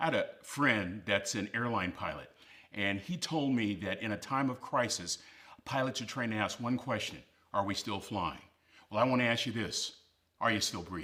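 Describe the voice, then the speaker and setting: Here a man speaks at a moderate pace with a medium pitch and a bright, sharp tone. The recording is very clean, with a silent background. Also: ordinary pitch variation. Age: 60s. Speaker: motivational speaker. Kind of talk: motivational speech. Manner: emphatic.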